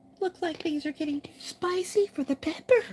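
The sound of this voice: Put-on character voice, pitched extremely high, at a medium speed.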